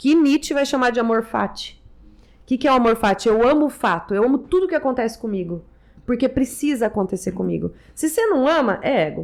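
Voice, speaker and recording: A woman talks at a fairly quick pace in a high voice. Her intonation is lively. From Brazil, Bauru (São Paulo state). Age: 40s. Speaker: anthroposophic therapist and philosopher. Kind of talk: podcast interview.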